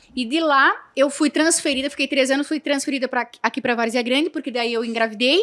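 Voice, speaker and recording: This woman talks at a fairly quick pace in a high pitch, with ordinary pitch variation. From Santa Catarina, southern Brazil. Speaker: entrepreneur. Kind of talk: podcast interview.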